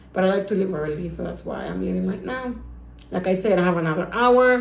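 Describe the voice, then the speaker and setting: Talking at a very fast pace in a medium pitch, a woman is heard with noticeable background noise and audible room echo. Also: ordinary pitch variation. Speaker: book vlogger. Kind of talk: casual vlog. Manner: repetitive.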